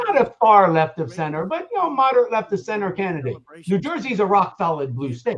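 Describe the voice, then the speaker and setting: A loud, high-pitched male voice at a fairly quick pace, with very wide pitch swings. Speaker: political commentator. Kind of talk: heated debate.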